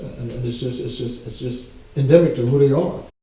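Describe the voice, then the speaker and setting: A man's fairly quick, fairly even speech at a medium pitch with an American accent and audible room echo. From US South, central Georgia. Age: 50s. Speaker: civil rights organization leader. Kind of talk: interview.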